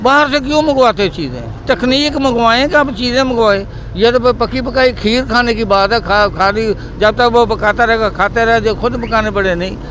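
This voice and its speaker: A man with an extremely high pitch talks at a moderate pace with hardly any pauses. Noticeable background noise runs underneath. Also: ordinary pitch variation. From Pakistan, Punjab (Rahim Yar Khan). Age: 60s. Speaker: rickshaw driver. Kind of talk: interview. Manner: halting, with repetitions.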